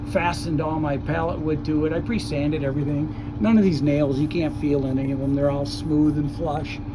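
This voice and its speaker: Noticeable background noise and audible room echo surround the recording. A man talks with hardly any pauses. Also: ordinary pitch variation. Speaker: DIY bus converter, vlogger. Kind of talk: casual walkaround vlog while working. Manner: halting, casual with fillers.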